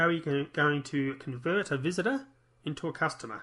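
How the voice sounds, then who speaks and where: Against a quiet background, a man with an Australian accent speaks with a bright, sharp tone, a fairly high pitch and ordinary pitch variation. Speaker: internet marketer. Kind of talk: online marketing tutorial. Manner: fast.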